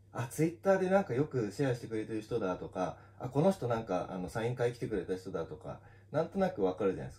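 A man talks at a very fast pace in a medium-pitched, dark, mellow tone that is somewhat breathy. His pitch swings very widely and his loudness shifts a lot. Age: 30s. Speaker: manga artist. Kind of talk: casual solo talk on social audio. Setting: live audio stream on social media. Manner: casual, with many fillers. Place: office.

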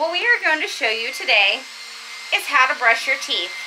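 A woman's raised, projected voice over noticeable background noise. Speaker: teacher. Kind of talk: tutorial. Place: kitchen. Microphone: webcam.

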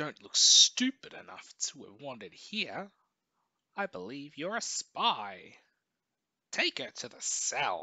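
Growling in a put-on character voice, a man speaks with long, frequent pauses. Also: fairly slow pace, big swings in loudness. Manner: snarling, menacing.

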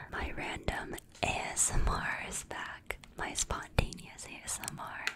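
This is a whispering woman. Her delivery is fairly slow. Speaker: ASMR creator. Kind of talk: ASMR brushing and whispering. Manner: whispered, soft-spoken. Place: home room. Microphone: studio mic.

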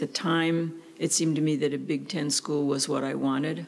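A woman speaks at a moderate pace in a monotone, flat way. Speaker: interviewee. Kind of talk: interview answer. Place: office. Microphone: studio mic.

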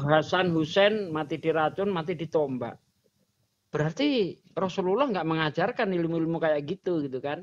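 This man has a high pitch and ordinary pitch variation. He talks at a moderate pace. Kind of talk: casual chat. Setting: livestream video call. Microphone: video call.

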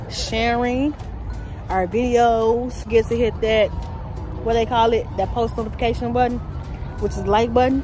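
A woman speaks at a moderate pace in a dry sound with no echo. Clear music plays in the background. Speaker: vlogger. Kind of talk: casual vlog chat. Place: street. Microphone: phone near.

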